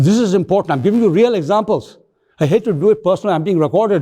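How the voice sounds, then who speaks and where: A man races along at a very fast pace, his tone dark and mellow and his intonation lively. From India. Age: 80s+. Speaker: professor. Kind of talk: lecture. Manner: halting.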